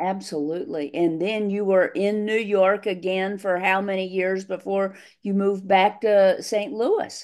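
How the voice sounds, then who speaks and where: A woman speaks in a normal speaking voice at a medium pitch, with fairly even intonation. Her pace is fairly slow with hardly any pauses, over a quiet background. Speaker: former racquetball champion and interviewer. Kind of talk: interviewer questions over video call.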